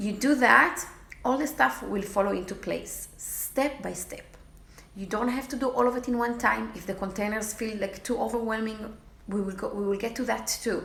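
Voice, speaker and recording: Someone with a non-native accent talks with ordinary pitch variation amid noticeable background noise and audible room echo. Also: woman, fairly high pitch for a woman, moderate pace. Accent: foreign. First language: not English. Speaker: fitness challenge group coach. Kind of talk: casual vlog talk to followers. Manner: halting, with many fillers.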